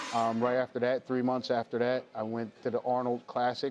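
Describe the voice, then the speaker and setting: A man is speaking. His pitch is medium. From New Jersey. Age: 30s. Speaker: professional bodybuilder. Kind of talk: casual personal account. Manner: halting, many fillers.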